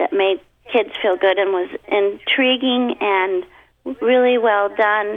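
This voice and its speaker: A woman at medium pitch with ordinary pitch variation and a very slow pace. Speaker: voice actor. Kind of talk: casual interview chat.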